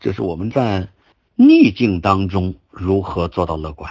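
This man has a very deep, low pitch. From China, Shandong (Zibo). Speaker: qigong teacher and cancer survivor. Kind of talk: lecture. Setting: online group talk. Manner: halting.

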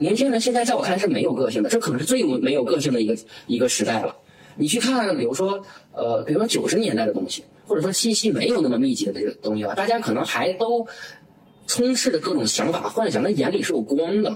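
Amid noticeable background noise, a high-pitched man with a Northeastern Chinese accent talks at a very fast pace with very wide pitch swings. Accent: Northeastern Mandarin. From Northeast China. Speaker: entrepreneur. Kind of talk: interview. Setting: office. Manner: animated.

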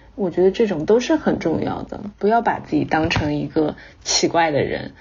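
With vocal fry and a fairly low pitch, a woman talks at a fairly quick pace. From China. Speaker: English-teaching social media creator and former actress. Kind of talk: interview.

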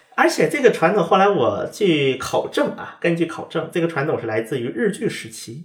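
A high-pitched man with lively intonation over noticeable background noise. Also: hardly any pauses. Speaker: podcast host and former correspondent in Korea. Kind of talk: casual chat.

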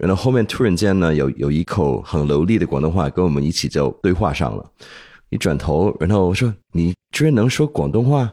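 Speaking at a fairly quick pace, a man with a very deep, low pitch and a dark, mellow tone keeps his loudness very even while his pitch swings very widely. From Hong Kong. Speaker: podcast co-host. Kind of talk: casual interview chat.

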